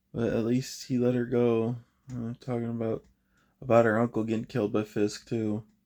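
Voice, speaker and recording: The man's voice is medium in pitch, delivered at a moderate pace. His intonation stays monotone and flat. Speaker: TV show reviewer. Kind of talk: spoiler review monologue.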